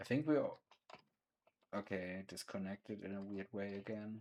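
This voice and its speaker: Speaking at a fairly slow pace, a man with a non-native accent has a fairly low voice. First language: not English. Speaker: streamer. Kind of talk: gaming livestream commentary. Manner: halting, stumbling over words.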